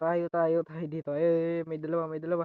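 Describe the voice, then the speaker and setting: Her voice fairly low-pitched, a woman talks at a moderate pace. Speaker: gaming youtuber. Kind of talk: gameplay commentary. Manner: casual, chatty.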